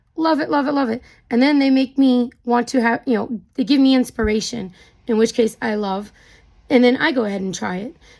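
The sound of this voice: A raspy voice with vocal fry, a slightly mellow tone, ordinary pitch variation and a fairly quick pace. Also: woman, fairly high pitch for a woman.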